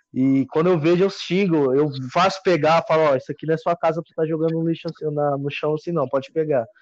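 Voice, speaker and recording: Against a quiet background, the speaker goes at a very fast pace with fairly even intonation. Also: man, fairly high pitch for a man. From Minas Gerais, Brazil. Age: 20s. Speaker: hiker. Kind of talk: casual chat.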